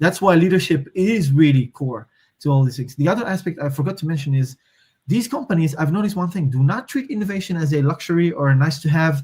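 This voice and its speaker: Delivered at a very fast pace, the speech has lively intonation and a Moroccan accent. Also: man, fairly high pitch for a man. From Morocco. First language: Moroccan Arabic. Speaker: systems thinker and strategy consultant. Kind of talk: podcast interview. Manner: hesitant, many fillers and restarts.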